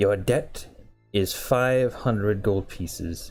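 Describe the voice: Putting on a character voice, a man with a fairly low pitch talks at a very slow pace as faint music plays behind him.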